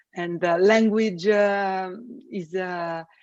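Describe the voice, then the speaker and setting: The speaker has an Italian accent and talks at a very slow pace. Pitch varies in an ordinary way. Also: woman. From Italy. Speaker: space systems engineer. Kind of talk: podcast interview. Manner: halting, many fillers.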